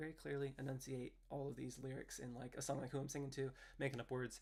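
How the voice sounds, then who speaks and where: This man talks at a fairly quick pace at a medium pitch, his voice carrying vocal fry and a monotone, flat intonation. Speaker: indie musician livestreaming. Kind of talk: casual livestream chat with viewers. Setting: home livestream. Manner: clear enunciation with many fillers.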